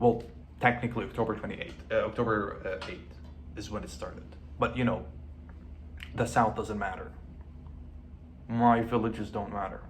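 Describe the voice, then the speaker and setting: Speech comes at a moderate pace with fairly even intonation, big swings in loudness and long, frequent pauses. Room echo is audible. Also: man, medium pitch for a man. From Lebanon. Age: 20s. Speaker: vlogger. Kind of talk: personal video diary. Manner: halting.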